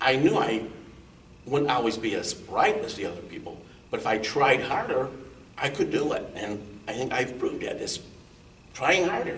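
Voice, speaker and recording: A man talks at a moderate pace with long, frequent pauses. The room echo is audible and there is noticeable background noise. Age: 60s. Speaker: accountant, guest with neurofibromatosis. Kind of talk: interview. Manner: halting.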